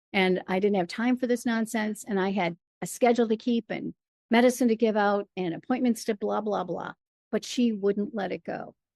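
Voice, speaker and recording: Speaking with a Michigan accent, a woman uses a fairly high pitch, fairly even intonation and a moderate pace, in a dry, close sound with no echo. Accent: US Midwest (Michigan). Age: 60s. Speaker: storyteller and performer. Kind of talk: interview.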